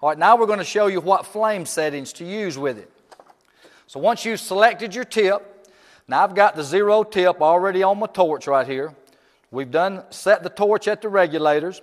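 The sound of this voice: Here a man speaks at a high pitch and a moderate pace. His pitch variation is ordinary.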